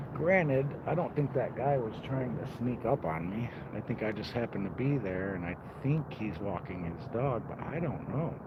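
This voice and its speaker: Loud and medium-pitched, a man's voice makes very wide pitch swings amid audible room echo and noticeable background noise. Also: moderate pace. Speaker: outdoor vlogger. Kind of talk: casual vlog narration while hiking. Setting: outdoors.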